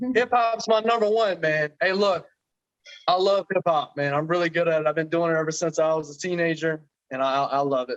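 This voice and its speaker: A man with an American accent speaks at a fairly quick pace. His pitch is high, with ordinary variation. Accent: strong country. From Florida, US South. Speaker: reality TV personality. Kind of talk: casual interview chat.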